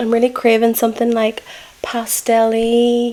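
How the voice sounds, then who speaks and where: Relaxed in tone, a woman speaks at a moderate pace over noticeable background noise. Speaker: makeup artist. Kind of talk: casual makeup tutorial talk to camera. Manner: chatty, relaxed.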